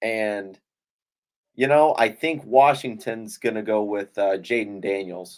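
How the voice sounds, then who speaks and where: A man speaks in a normal speaking voice, fairly low in pitch. His pace is fairly slow, and his pitch varies in an ordinary way. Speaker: podcast co-host. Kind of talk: casual chat.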